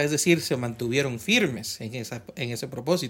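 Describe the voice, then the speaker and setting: There is no background sound at all, and the recording is very clean. The male speaker's intonation is lively. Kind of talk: casual faith discussion. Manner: halting.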